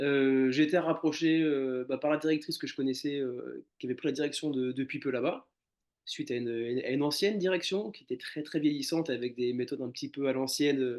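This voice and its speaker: Speaking at a fairly quick pace, a man with a fairly high pitch keeps his intonation fairly even. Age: 30s. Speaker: animal shelter caretaker. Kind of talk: casual interview conversation. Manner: hesitant, many fillers and repetitions.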